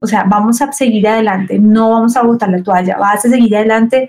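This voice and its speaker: Fairly high in pitch, a woman speaks with a dark, mellow tone and fairly even intonation. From Colombia, Cali. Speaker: church youth leader. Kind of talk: casual chat. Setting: remote call.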